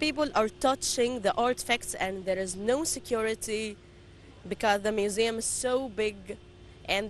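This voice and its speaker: The speaker talks at a fairly slow pace with long, frequent pauses, in an Arabic accent. Loudness stays very even, and pitch varies in an ordinary way. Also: woman. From Egypt. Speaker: tour guide. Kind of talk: interview. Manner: halting.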